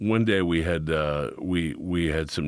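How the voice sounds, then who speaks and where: With a Chicago accent, a man speaks at a very deep, low pitch and fairly even intonation over a quiet background. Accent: Chicago American. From US Midwest, Chicago. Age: 50s. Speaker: podcast co-host, artist and actor. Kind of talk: casual chat.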